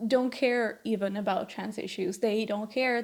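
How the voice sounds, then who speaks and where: A woman with a non-native accent and a fairly high pitch speaks at a moderate pace with ordinary pitch variation. The recording is very clean, with a silent background. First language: not English. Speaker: video commentator. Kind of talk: casual commentary video.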